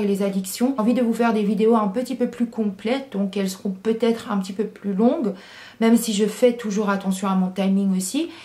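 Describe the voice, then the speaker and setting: A woman with a fairly high pitch talks at a moderate pace. Her intonation stays fairly even over noticeable background noise. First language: English (speaking French). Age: 20s. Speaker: YouTuber. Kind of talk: Q&A vlog. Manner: hesitant, many fillers.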